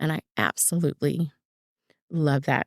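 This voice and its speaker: A woman with an American accent speaks at a moderate pace in a very deep, low voice, with ordinary pitch variation. The recording is very clean, with a silent background and a dry, close sound with no echo. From Inglewood, California. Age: 50s. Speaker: nurse. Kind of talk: interview answer.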